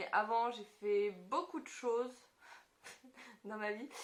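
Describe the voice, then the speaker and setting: Noticeable background noise runs behind a woman who talks fairly slowly. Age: 20s. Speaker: YouTuber. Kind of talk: casual chat.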